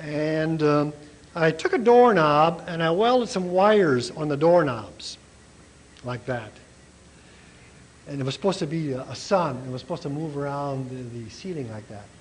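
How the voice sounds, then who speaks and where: Over noticeable background noise, a man with a fairly high voice speaks with lively intonation, big swings in loudness and long, frequent pauses. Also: moderate pace. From US Midwest, Minnesota. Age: 60s. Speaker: artist and art professor. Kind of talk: informal demonstration talk. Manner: halting, with fillers.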